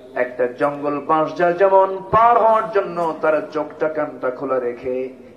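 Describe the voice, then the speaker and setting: There is noticeable background noise as a man with a fairly high pitch talks in an animated tone with lively intonation. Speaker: Islamic preacher giving a waz sermon. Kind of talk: Islamic sermon (waz) delivered to a live audience. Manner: animated, call-and-response with the audience.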